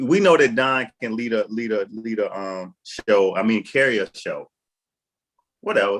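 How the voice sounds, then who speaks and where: A man speaks at medium pitch with a Southern US accent and a fairly slow pace. The sound is dry and close, with no echo. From American South. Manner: casual, halting, many fillers.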